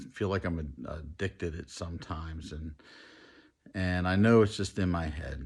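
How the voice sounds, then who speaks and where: Over a silent background on a very clean recording, a man talks at a moderate pace in a very deep, low voice that is somewhat breathy. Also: ordinary pitch variation. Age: 50s. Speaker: weight loss program contestant. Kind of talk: testimony.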